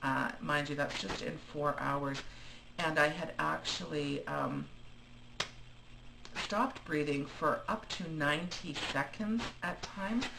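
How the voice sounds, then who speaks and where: Delivery is very slow, broken by long, frequent pauses. Noticeable noise sits in the background. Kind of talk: casual video diary talk to camera. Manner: hesitant, many fillers; rambling.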